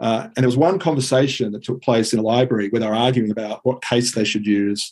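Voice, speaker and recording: Speaking with an Australian accent, a man keeps a medium pitch and fairly even intonation. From Sydney, Australia. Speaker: Latin and Greek teacher. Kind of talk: interview. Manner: halting, many fillers.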